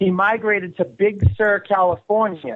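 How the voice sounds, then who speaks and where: A man speaks with a Boston accent. His pitch is high. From Boston area, Massachusetts. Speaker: filmmaker and publicist. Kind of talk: radio interview.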